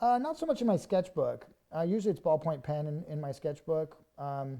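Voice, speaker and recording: Talking at a fairly quick pace, a man uses a fairly high pitch, a dark, mellow tone and lively intonation. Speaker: art instructor. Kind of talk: live stream drawing demo. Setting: studio. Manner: fast; casual.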